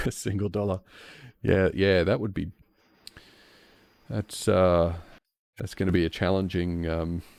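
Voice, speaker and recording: Speaking at a fairly slow pace with long, frequent pauses, a man with an Australian accent uses a very deep, low voice and fairly even intonation. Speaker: software developer streamer. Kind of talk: live coding stream chat. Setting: live stream. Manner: halting, repetitive.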